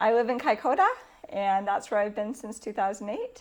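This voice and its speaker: A woman's medium-pitched voice with a Canadian accent. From Canada. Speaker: church environmental ministry worker. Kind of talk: interview monologue. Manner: hesitant, with frequent fillers.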